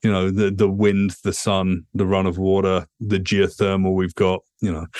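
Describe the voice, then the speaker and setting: Speaking at a moderate pace with a British accent, the voice comes over a quiet background. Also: man. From England. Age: 40s. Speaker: futurist and author. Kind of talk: podcast interview.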